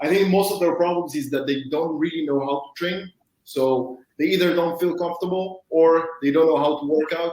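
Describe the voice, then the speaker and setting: This man has a high voice and a non-native accent, speaking at a moderate pace with fairly even intonation. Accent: foreign. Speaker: fitness equipment entrepreneur. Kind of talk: panel discussion.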